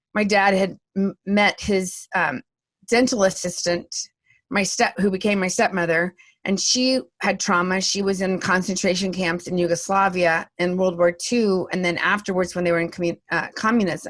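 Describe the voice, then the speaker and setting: This woman has an unremarkable speaking voice at a medium pitch and a moderate pace. The recording is very clean, with a silent background. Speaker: comedian, speaker and vocal coach. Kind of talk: interview answer. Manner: lively, talkative.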